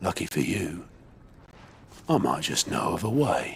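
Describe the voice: A man speaks in a put-on character voice, low-pitched and fairly slow, with big pitch swings.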